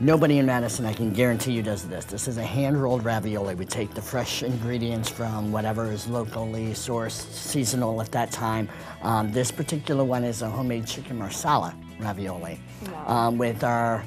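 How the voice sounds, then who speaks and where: A man speaks fairly quickly, his pitch varying in an ordinary way, while clear music plays behind him. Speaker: guest. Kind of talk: interview answer. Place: studio. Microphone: lapel.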